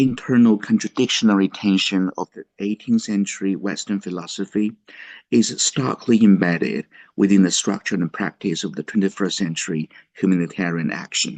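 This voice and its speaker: Soft-spoken, a man with a fairly low pitch talks at a moderate pace, with a dry, close sound, no echo and a quiet background. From China. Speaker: professor. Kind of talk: lecture. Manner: halting.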